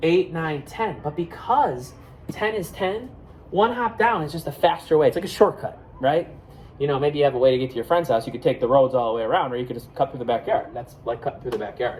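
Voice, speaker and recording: A loud, animated man with an American accent, fairly high-pitched, at a very fast pace with very wide pitch swings. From Buffalo, New York, US. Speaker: elementary school teacher. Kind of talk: math lesson for kids.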